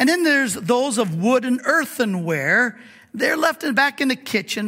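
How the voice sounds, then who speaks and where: A man's raised, projected voice with lively intonation and a bright, sharp tone. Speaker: pastor and Bible teacher. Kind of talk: sermon. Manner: halting, frequent fillers and repeats.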